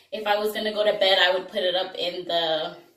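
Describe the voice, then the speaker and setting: A woman at a moderate pace and medium pitch, with audible room echo. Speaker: beauty vlogger. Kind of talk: tutorial. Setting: bathroom at work. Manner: casual, chatty.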